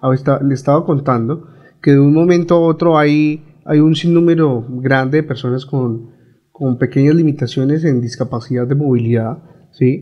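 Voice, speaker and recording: A man with an ordinary speaking voice, a fairly high pitch, fairly even intonation and a moderate pace. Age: young. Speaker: foundation director. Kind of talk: interview.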